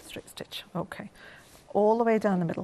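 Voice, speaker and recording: Amid noticeable background noise, a woman with an English accent speaks with ordinary pitch variation. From England. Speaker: craft designer demonstrator; quilting instructor. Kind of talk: live TV shopping demo. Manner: fast. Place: studio. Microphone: lapel.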